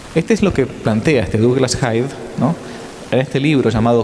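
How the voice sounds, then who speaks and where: There is noticeable background noise behind this man. He talks at medium pitch with ordinary pitch variation. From Argentina. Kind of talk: lecture. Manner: fast.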